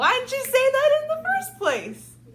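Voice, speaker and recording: The pace of this woman's speech is moderate. Her put-on character voice is squeaky and extremely high in pitch. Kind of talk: bedtime story. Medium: read story.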